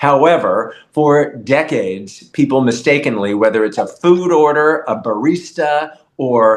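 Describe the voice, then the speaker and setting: Lively intonation from a man. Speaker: journalist and author. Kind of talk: casual interview. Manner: enunciates clearly.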